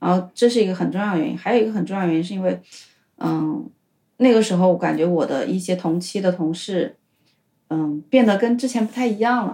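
Fairly quick and lively in intonation, a woman's medium-pitched voice sounds somewhat breathy with a dark, mellow tone. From China, Hubei. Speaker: former tech worker, language student. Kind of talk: casual interview chat.

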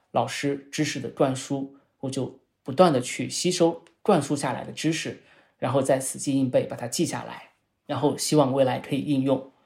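A man speaks at a fairly high pitch with vocal fry and fairly even intonation. His loudness swings widely. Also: moderate pace. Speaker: sociology professor. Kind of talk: interview. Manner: explanatory, lecture-like.

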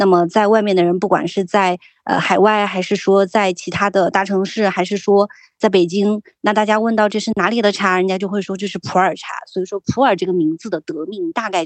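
A plain, everyday voice from a woman at medium pitch, ordinary pitch variation, dry, close sound with no echo, and a quiet background. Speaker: tea producer. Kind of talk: casual interview.

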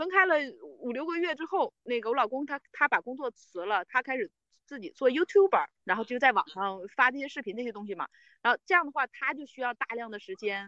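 A woman speaks in a raised, projected voice at a fairly quick pace, her high-pitched, bright and sharp tone swinging very widely in pitch and greatly in loudness, with a dry, close sound and no echo. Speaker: team leader. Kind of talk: interview. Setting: outdoors, remote call.

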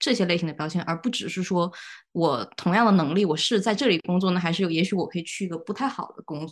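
Over a quiet background, a woman talks at a fairly quick pace in a normal speaking voice. Her pitch is medium, with ordinary variation. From Guangzhou. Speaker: podcast co-host, graduate student. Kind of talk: casual chat. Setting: studio, in person with co-hosts.

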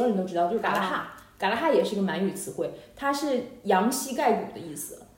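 Speech comes at a very fast pace with very wide pitch swings over noticeable background noise. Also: woman. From Harbin, Heilongjiang, China. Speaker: podcast host. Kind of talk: casual chat. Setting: online call.

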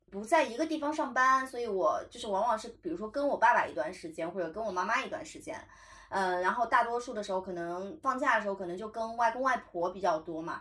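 A woman talks at a very fast pace in a fairly high pitch, her tone bright and sharp. Her pitch swings very widely and her loudness shifts in big swings. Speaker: podcast host. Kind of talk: casual chat.

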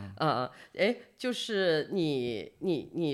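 With vocal fry and a very deep, low pitch, a woman swings very widely in pitch over a very clean recording with a silent background. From China, not Beijing. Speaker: podcast host. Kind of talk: interview. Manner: hesitant, many fillers.

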